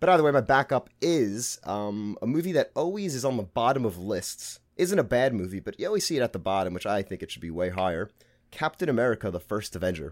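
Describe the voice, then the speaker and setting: A man with a Brooklyn accent talks very fast at medium pitch, with hardly any pauses and very wide pitch swings. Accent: Brooklyn New York. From Brooklyn, New York. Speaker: podcast co-host guest. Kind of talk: casual chat.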